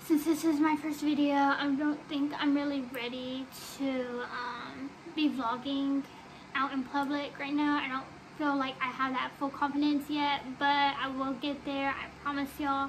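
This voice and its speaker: A high-pitched woman's voice in a flat monotone, with light background noise. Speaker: vlogger. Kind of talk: casual vlog chat. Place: home room. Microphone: phone near.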